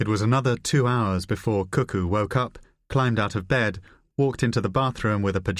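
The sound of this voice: An unforced reading voice shows ordinary pitch variation over a quiet background.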